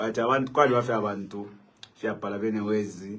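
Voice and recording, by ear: A man at a fairly low pitch, fairly quick pace, and fairly even intonation. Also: fairly bright tone.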